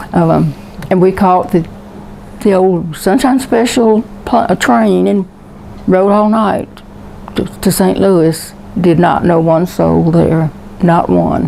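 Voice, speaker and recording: Over noticeable background noise, a woman with a fairly low voice speaks very slowly at very even loudness, leaving long, frequent pauses. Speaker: war veteran. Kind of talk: oral history interview, personal storytelling.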